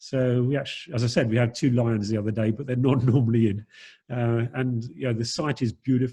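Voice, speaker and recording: A man's dark, mellow, somewhat breathy voice, fairly quick and fairly even in intonation, against a quiet background. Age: 60s. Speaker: dive centre operator. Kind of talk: Q&A on video call. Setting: video call. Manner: halting, many fillers. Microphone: low bandwidth connection.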